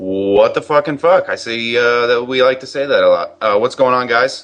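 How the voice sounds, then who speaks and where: A man with an American accent speaks in an ordinary speaking voice at a medium pitch and a moderate pace, with ordinary pitch variation. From Massachusetts. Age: 20s. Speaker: gaming commentator. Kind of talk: casual chat.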